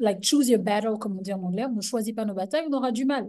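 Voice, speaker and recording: With ordinary pitch variation, the voice carries a dark, mellow tone. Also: woman. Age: young. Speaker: businesswoman, panelist. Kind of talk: webinar panel talk.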